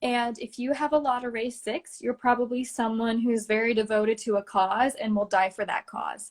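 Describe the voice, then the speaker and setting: Speaking at a moderate pace with hardly any pauses, a woman has a fairly high pitch, ordinary pitch variation and an ordinary speaking voice. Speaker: esoteric healing practitioner. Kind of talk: interview explaining healing practice.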